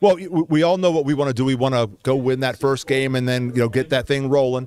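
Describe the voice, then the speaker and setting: A man at a medium pitch, ordinary pitch variation, very fast pace. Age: 60s. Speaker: college football head coach. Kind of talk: interview. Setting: media day radio row.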